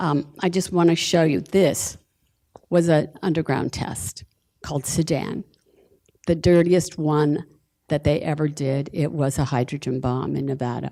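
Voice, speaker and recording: A woman with an American accent, very deep, low pitch and a dark, mellow tone at a fairly slow pace, on a very clean recording with a silent background. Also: ordinary pitch variation. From Utah, Salt Lake City. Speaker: downwinder advocate, panelist. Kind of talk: panel presentation.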